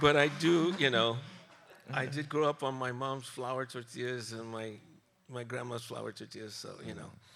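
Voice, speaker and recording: Fairly even intonation meets big swings in loudness, with audible room echo and noticeable background noise in the recording. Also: man, medium pitch for a man, moderate pace. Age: 60s. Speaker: journalist and music radio host. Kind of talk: live interview on stage. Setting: stage with audience. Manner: halting, many repetitions.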